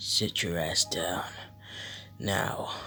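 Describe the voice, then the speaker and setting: A man performs a put-on character voice. Background noise is clearly audible. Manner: scary, menacing.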